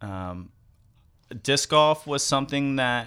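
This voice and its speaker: A man with an American accent and a bright, sharp tone, on a very clean recording with a silent background. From US South. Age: 30s. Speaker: wingsuit pilot and skydiving instructor. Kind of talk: casual interview. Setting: studio. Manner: relaxed.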